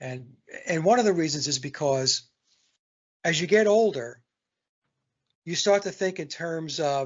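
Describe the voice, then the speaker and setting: A man's fairly high voice with lively intonation. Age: 60s. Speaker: songwriter and guitarist. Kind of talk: casual chat. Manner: halting.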